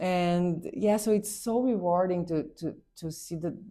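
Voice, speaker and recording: A woman with a Portuguese accent talks at a very slow pace, her fairly low pitch carrying a dark, mellow tone and ordinary pitch variation. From Brazil. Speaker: pediatric neurosurgeon and PhD student. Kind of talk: interview. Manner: halting, with repetitions.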